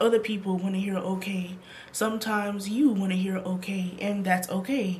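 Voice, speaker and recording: With fairly even intonation, a woman talks at a moderate pace amid noticeable background noise. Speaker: lifestyle vlogger. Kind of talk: advice talk to camera.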